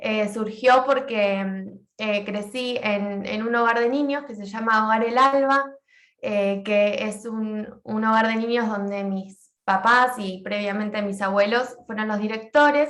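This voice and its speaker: In a room with audible echo, a woman with a fairly high pitch speaks very slowly, her intonation fairly even. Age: 20s. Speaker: social work graduate student. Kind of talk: class presentation.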